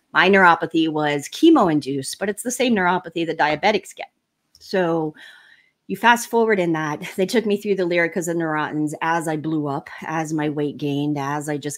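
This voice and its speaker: Her pitch is fairly low and varies in an ordinary way. The woman is recorded very cleanly against a silent background. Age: 50s. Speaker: health coach, cancer survivor. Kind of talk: interview testimony. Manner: fast.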